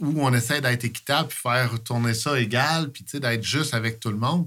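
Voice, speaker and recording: This man has an unremarkable speaking voice at medium pitch with ordinary pitch variation, talking at a moderate pace on a very clean recording with a silent background. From Quebec, Eastern Townships. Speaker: sports coach, volunteer. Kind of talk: casual interview chat.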